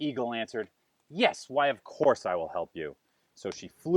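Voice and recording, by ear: With a quiet background, the passage is read aloud in a natural voice.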